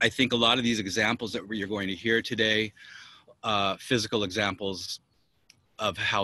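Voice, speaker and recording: A man with a fairly low pitch and a bright, sharp tone speaks at a moderate pace in a monotone, flat intonation. The sound is dry and close with no echo, over a quiet background. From United States. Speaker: musician, percussionist. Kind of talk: panel talk. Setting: video call from his rooftop.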